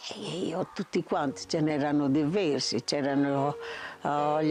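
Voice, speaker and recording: A woman's very deep, low voice at a very slow pace, over music in the background. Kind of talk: interview answer.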